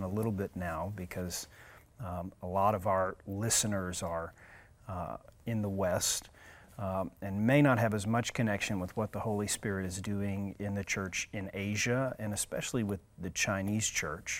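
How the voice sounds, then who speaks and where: This man has a normal speaking voice, fairly low in pitch, with fairly even intonation at a moderate pace. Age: 40s. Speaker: podcast host. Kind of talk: interview.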